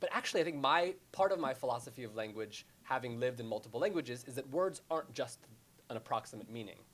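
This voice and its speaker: Very fast delivery with ordinary pitch variation in a very clean recording with a silent background. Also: man. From born in Jerusalem, raised mostly in America. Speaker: novelist. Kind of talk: panel discussion.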